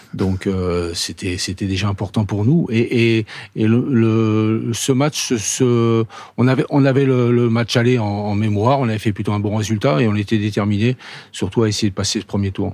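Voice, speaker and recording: A man's voice, fairly low in pitch. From Paris. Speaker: former footballer. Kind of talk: interview. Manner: halting.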